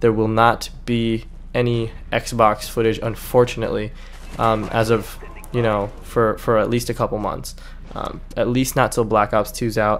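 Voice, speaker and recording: Over music in the background, a man with an American accent speaks at a fairly slow pace. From California. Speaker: gaming YouTuber. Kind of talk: casual vlog commentary. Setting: home recording with background noise. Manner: hesitant, many fillers.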